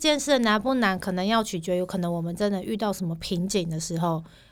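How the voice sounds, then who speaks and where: The recording is very clean with a silent background as a woman speaks at a fairly quick pace. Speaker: podcast co-host. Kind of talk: casual chat. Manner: fluent.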